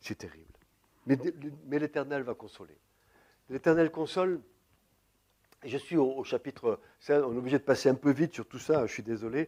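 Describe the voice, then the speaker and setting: This man speaks at a fairly high pitch with a dark, mellow tone and ordinary pitch variation, taking long, frequent pauses, his loudness swinging widely in a dry, close sound with no echo. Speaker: preacher. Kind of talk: sermon. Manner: fast.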